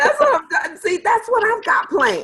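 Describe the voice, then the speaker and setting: A woman speaks in an animated tone. Her pitch swings very widely. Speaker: sales team leader. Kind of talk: casual chat in a video sales meeting. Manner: fast.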